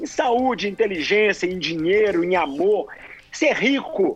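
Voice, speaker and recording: A man talks at a very slow pace. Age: 40s. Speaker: ultramarathon runner. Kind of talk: interview.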